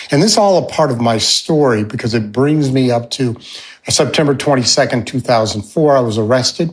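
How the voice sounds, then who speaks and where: A man has a normal speaking voice. His pitch is medium with ordinary variation. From upstate New York and Alaska. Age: 60s. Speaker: fundraising consultant and mentor. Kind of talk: podcast interview, life story.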